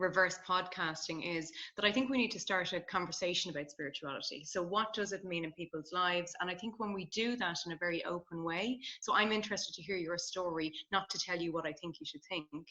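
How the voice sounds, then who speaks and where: A woman speaks fairly quickly with a slight Irish accent. Her medium-pitched voice has a bright, sharp tone and ordinary pitch variation. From Ireland. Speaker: positive psychology researcher. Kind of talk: podcast interview conversation.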